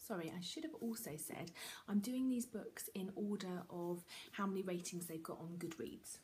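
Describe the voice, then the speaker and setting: A soft-spoken woman with a British accent, medium pitch, a dark, mellow tone, a somewhat breathy quality, lively intonation, and a moderate pace. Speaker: book vlogger. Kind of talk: casual monologue to camera. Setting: at home.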